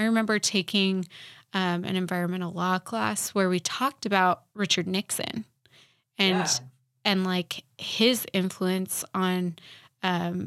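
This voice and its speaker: In a very clean recording with a silent background, a woman with an American accent and an unremarkable speaking voice talks at a fairly slow pace, at medium pitch, with fairly even intonation. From Utah (Salt Lake City). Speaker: podcast co-host. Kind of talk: casual chat.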